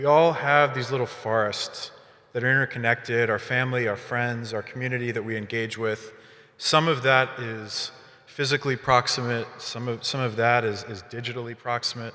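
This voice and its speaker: Loud and bright with a sharp tone, a man's medium-pitched voice holds fairly even intonation at a moderate pace. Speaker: startup founder. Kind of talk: panel discussion.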